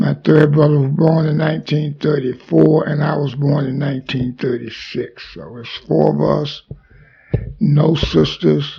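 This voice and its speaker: A man talks at a fairly slow pace with a Mississippi accent. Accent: Southern US (Mississippi). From US South, Mississippi. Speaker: army veteran. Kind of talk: oral history interview.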